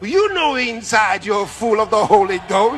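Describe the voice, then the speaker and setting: Music plays behind a man talking at a fairly slow pace. His high-pitched voice swings very widely in pitch. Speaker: pastor preaching. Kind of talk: sermon / church teaching.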